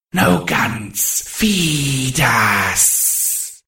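A man's raspy, put-on character voice, medium in pitch, with very wide pitch swings. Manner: demanding, hungry.

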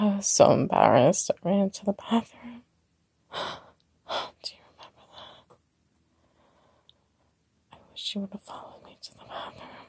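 Whispering at a fairly slow pace, a woman speaks with vocal fry, a husky, rough edge and long, frequent pauses.

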